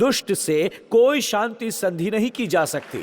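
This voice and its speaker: Speaking with lively intonation, the man has a high-pitched voice. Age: 60s. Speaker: pastor. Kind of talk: sermon. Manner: animated.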